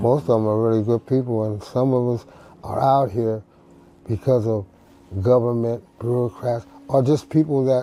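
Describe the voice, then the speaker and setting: Medium in pitch, a man talks at a moderate pace with fairly even intonation. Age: 60s. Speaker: formerly homeless man. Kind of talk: emotional personal testimony.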